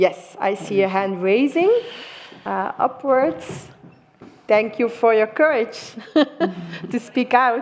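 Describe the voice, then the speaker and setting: A woman with a Flemish accent speaks very slowly at a fairly high pitch, with ordinary pitch variation. Long, frequent pauses break up her speech, and background noise is noticeable. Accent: Flemish Dutch accent in English. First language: Dutch. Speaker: panel moderator. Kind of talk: panel discussion.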